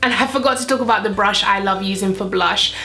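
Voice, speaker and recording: Speaking fairly quickly with an English accent, a woman is heard amid audible room echo and noticeable background noise. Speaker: beauty youtuber. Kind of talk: makeup tutorial. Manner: animated.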